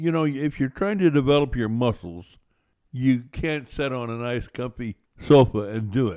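With lively intonation, a man speaks at medium pitch and a moderate pace in a normal speaking voice. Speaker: financial radio host. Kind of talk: casual radio chat, co-host banter on finance. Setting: radio studio. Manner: folksy, conversational.

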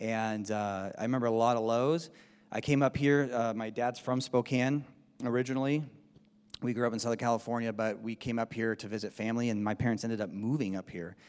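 A man talks in a normal speaking voice at medium pitch, his intonation fairly even and his pace fairly quick. The recording is very clean, with a silent background. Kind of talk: testimony, personal conversion story told in a casual tone. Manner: casual, wry, with laughs.

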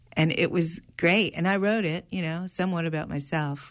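A woman talks at a moderate pace in a normal speaking voice, fairly low in pitch, with ordinary pitch variation. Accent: American. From US Northeast. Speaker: actor and arts educator. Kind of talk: radio interview.

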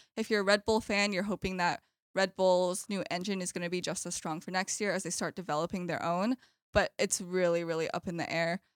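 A woman with a normal speaking voice talks fairly quickly at a medium pitch, her intonation fairly even. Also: dry, close sound with no echo, very clean recording, silent background. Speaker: student sports journalist. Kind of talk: casual chat.

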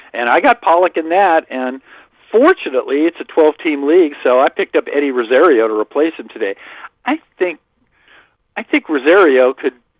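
Talking at a fairly quick pace, a man with an unremarkable speaking voice sounds fairly high-pitched and uses lively intonation. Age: 60s. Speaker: fantasy baseball writer. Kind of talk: casual chat.

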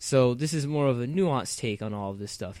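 A man talks at a fairly quick pace in a plain, everyday voice. His pitch varies in an ordinary way. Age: 20s. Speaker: podcast co-host, university student. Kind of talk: casual chat.

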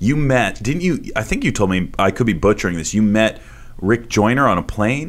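Lively in intonation, a man with a fairly low voice talks at a moderate pace in an unremarkable speaking voice. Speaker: podcast host. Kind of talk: casual interview chat.

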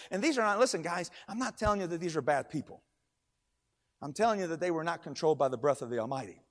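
A man speaks very fast in a high voice, his pitch swinging very widely and his tone animated. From Kentucky. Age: 50s. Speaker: preacher. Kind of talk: sermon.

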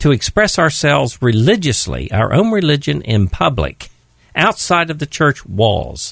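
A man with a fairly high pitch and vocal fry swings his pitch very widely, recorded against a quiet background. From West Virginia. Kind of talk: radio discussion. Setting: studio.

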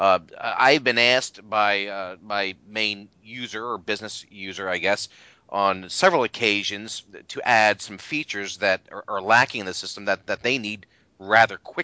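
With a plain, everyday voice, this man talks at a moderate pace in a fairly low pitch, showing ordinary pitch variation and big swings in loudness. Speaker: Notes developer and screencast maker. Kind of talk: casual chat.

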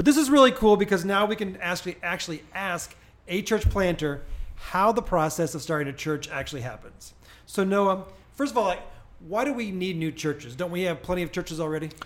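Lively intonation at a fairly quick pace, with a Midwestern US accent. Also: man, high pitch for a man. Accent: US Midwest. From Springfield, Illinois. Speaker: pastor and podcast host. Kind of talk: interview.

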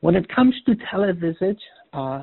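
The speaker has a slight Polish accent. The pace is moderate. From Poland. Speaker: oncologist. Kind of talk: lecture.

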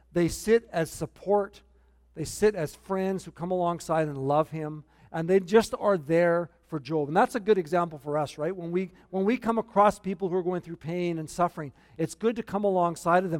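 With a Canadian accent, a man speaks at a high pitch. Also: ordinary pitch variation, moderate pace, dry, close sound with no echo. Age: 60s. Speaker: pastor. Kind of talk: sermon. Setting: church. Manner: humorous, self-deprecating.

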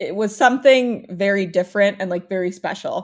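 A woman with a plain, everyday voice at medium pitch, lively intonation, and a very clean recording with a silent background. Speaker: recent college graduate. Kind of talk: casual chat.

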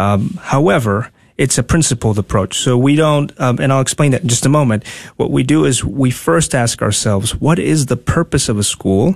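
A man talks at a medium pitch. His voice is somewhat breathy. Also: moderate pace, very even loudness, quiet background. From Honduras, Tegucigalpa. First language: Spanish. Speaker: school principal. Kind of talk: radio interview. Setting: studio.

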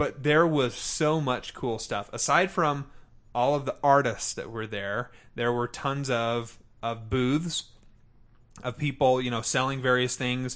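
Against a quiet background, a man with a plain, everyday voice speaks at medium pitch with fairly even intonation. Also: fairly slow pace. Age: 30s. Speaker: podcast host. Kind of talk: casual chat.

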